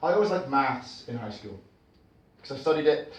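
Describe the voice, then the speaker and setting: Noticeable background noise accompanies very fast speech whose pitch varies in an ordinary way. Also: man. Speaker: performance poet. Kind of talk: live spoken word performance. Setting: live venue, performing for an audience. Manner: conversational, wry, reflective.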